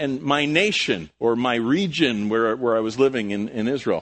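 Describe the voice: The pace is moderate and the tone fairly bright. Pitch varies in an ordinary way. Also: man, medium pitch for a man.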